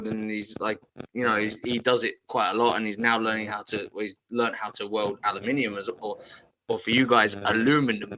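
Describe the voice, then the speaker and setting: A man's flat, monotone delivery with a bright, sharp tone at a fairly quick pace. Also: medium pitch for a man. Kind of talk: casual, conversational.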